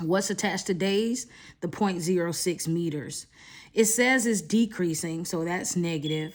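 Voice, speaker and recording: A plain, everyday voice with ordinary pitch variation at a fairly slow pace, on a very clean recording with a silent background. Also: woman, medium pitch for a woman. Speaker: math teacher. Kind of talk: tutorial. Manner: casual, filler words.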